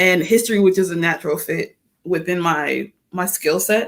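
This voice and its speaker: Her voice shows vocal fry, as a woman with an American accent speaks at a medium pitch with ordinary pitch variation. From New York (Queens), later North Carolina. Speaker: attorney. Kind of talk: casual interview. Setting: livestream talk show. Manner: fast.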